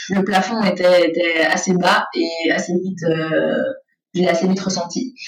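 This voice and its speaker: Fairly even intonation at a fairly slow pace, with music in the background. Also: woman, medium pitch for a woman. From Brussels, Belgium (Saint-Josse). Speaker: makeup artist and beauty salon owner. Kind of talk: interview.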